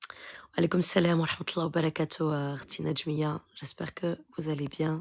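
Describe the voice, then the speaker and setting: A soft-spoken woman with a very deep, low pitch, monotone, flat intonation and a fairly slow pace. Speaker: spiritual healer. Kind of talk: live Q&A stream. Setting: live stream.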